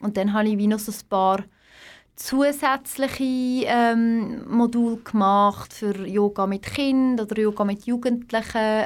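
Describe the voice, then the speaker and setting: The recording is very clean, with a silent background. A woman speaks very slowly at a fairly high pitch with fairly even intonation. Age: 30s. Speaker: yoga teacher. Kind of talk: interview.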